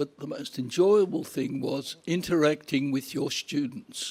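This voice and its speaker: A man talks at a very slow pace. His pitch swings very widely. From Poland. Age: 80s+. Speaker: Holocaust survivor. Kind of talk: onstage interview. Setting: stage with audience.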